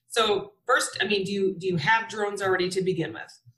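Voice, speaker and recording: A woman with an American accent and an unremarkable speaking voice, medium in pitch, at a fairly quick pace. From Wisconsin. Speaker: flight instructor and STEM educator. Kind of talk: webinar presentation.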